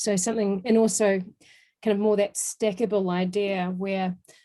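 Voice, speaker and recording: A woman with a New Zealand accent speaks at a moderate pace in a medium pitch, her tone dark and mellow, her pitch varying in an ordinary way. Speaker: software trainer presenting a webinar. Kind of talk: webinar Q&A.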